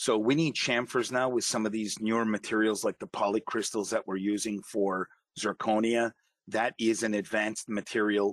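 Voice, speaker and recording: An ordinary speaking voice moves at a moderate pace, with a dry, close sound and no echo. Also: man. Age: 50s. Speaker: dental technician. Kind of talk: interview.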